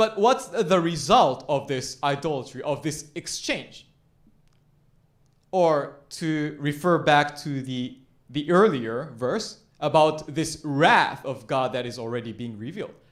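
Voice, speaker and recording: With audible room echo, a man with a fairly high voice talks fairly slowly and with lively intonation. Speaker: pastor. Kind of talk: sermon.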